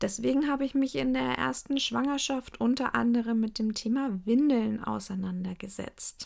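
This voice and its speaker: With very wide pitch swings, a woman talks in a fairly high voice. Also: moderate pace. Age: 30s. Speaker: podcast host and cloth diaper consultant. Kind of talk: casual monologue.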